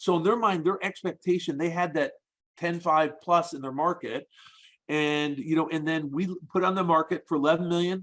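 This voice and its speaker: Ordinary pitch variation in a man's fairly high voice, delivered at a fairly quick tempo. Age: 60s. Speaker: self-storage broker. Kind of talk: interview podcast. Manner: halting, many repetitions.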